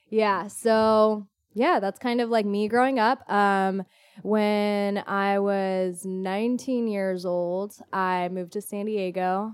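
In an American accent, a woman talks at a very slow pace with fairly even intonation on a very clean recording with a silent background. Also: medium pitch for a woman. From US West Coast, Orange County, California. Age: 20s. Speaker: fitness instructor and event organizer. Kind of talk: casual interview.

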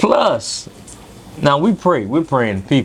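A man at a fairly high pitch and a fairly slow pace, with noticeable background noise. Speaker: food vlogger. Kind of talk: casual chat. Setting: restaurant.

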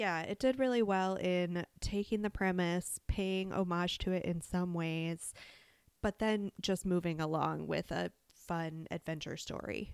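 She is a woman with an ordinary speaking voice, fairly low pitch and ordinary pitch variation, talking at a fairly slow pace. The sound is dry and close with no echo, on a very clean recording with a silent background. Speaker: podcast co-host, mom. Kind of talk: casual chat.

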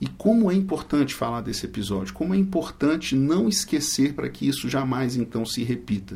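A man talks at a fairly quick pace with hardly any pauses. His medium pitch swings very widely. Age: 40s. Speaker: prosecutor and law professor. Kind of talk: interview. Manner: formal.

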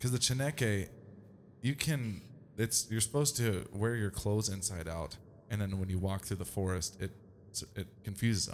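The delivery sounds animated, with ordinary pitch variation. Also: man, fairly low pitch for a man, moderate pace. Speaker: podcast host. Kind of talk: casual chat. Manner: joking, animated.

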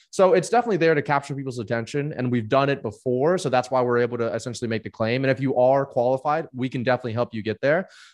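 Against a quiet background, a man with a fairly high pitch speaks. He goes at a very fast pace with ordinary pitch variation. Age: 20s. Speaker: business founder and CEO. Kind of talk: interview. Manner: casual, laughing.

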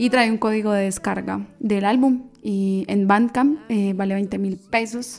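This woman talks at a very slow pace, her medium pitch moving with ordinary variation. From Colombia, Manizales. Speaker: singer-songwriter. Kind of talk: interview. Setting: radio studio.

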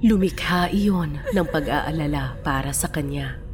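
A woman speaking at a very slow pace over background music. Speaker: guest narrator. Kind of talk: dramatic scripted narration of a tragic story, first person. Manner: somber, mournful and reflective at the end.

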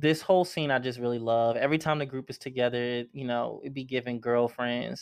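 A man speaks at medium pitch in an ordinary speaking voice, at a moderate pace. His intonation is fairly even, though his loudness swings widely. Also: quiet background. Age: 20s. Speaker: podcast host recapping a TV series. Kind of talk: casual solo recap. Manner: casual, filler-heavy.

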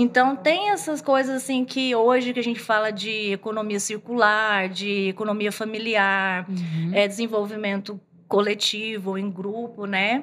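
At a fairly slow pace with hardly any pauses, a woman with an ordinary speaking voice talks at a fairly high pitch with ordinary pitch variation. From Bahia backlands, Brazil. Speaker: fashion designer. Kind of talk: casual interview.

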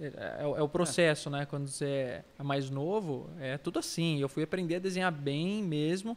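A man speaks with an unremarkable speaking voice. His pitch is fairly high and his intonation fairly even. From Brazil, São Paulo state (Itapira, Campinas). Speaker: artist. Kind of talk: casual chat.

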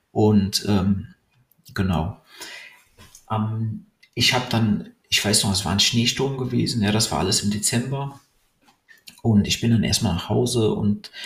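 A fairly slow pace with long, frequent pauses and ordinary pitch variation. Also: man. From Cologne, Germany. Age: 30s. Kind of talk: personal monologue.

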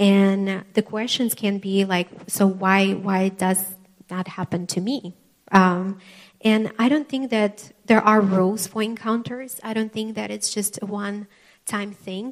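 This woman has a non-native accent and a medium pitch. She talks at a fairly slow pace with fairly even intonation. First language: not English. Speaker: preacher. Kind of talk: sermon. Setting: church with live congregation. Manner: halting, with frequent fillers.

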